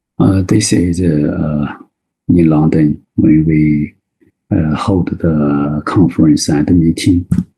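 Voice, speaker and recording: A man speaks very slowly in a very deep, low voice with a Chinese accent and fairly even intonation. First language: Mandarin Chinese. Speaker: Chinese medicine doctor and teacher. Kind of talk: webinar lecture. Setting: online webinar. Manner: halting, many fillers.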